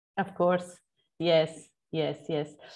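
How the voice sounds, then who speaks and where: In a Portuguese accent, a woman speaks at a very slow pace with monotone, flat intonation against a quiet background. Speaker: geopark representative. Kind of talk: Q&A at online conference. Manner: halting, many fillers.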